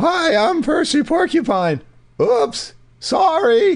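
Doing a put-on character voice, a man speaks at a very slow pace with an extremely high pitch. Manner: small, shy, apologetic.

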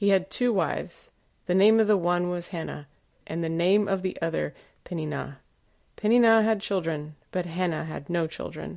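A woman with a plain, everyday voice speaks at a moderate pace, her pitch fairly low and her pitch variation ordinary. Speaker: scripture reader. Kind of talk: reading aloud.

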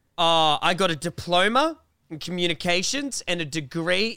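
Loud and animated, a man with an Australian accent talks at a moderate pace in a high pitch with a bright, sharp tone. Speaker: YouTuber and podcast co-host. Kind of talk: casual chat.

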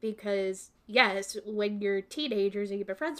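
A woman with a normal speaking voice talks with a Canadian accent. Her pitch is medium and her pace moderate. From Canada, Kingston, Ontario. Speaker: graphic designer and photographer. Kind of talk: casual chat.

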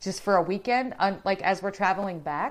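In a very clean recording with a silent background, a woman speaks in an animated tone at a fairly quick pace. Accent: American. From US Midwest (Southeast Ohio). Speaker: live-stream host. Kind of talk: casual chat. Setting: solo live stream reading viewer comments.

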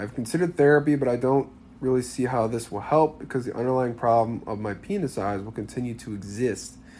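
A man with a plain, everyday voice speaks at a medium pitch and a fairly quick pace, with lively intonation. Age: 20s. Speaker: dating coach podcast host. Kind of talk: casual solo podcast commentary. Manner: casual, filler-heavy with repetitions.

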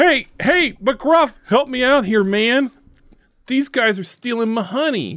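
Putting on a character voice, a man speaks at a fairly slow pace in an extremely high pitch. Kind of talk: game character voice. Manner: pleading, comic.

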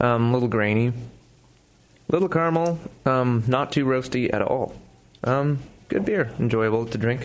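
A man speaks at a medium pitch and a moderate pace with ordinary pitch variation. His loudness stays very even, and he leaves long, frequent pauses. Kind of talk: casual chat.

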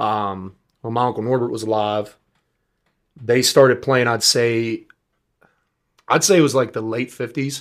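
Recorded very cleanly against a silent background, a man speaks with an American accent. His pace is moderate and his pitch variation ordinary. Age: 20s. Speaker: singer. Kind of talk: casual chat.

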